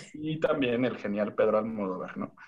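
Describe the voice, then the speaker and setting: A man talks in an ordinary speaking voice at a medium pitch. His intonation is lively and his pace fairly quick. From Tijuana, Mexico. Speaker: podcast guest. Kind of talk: casual chat.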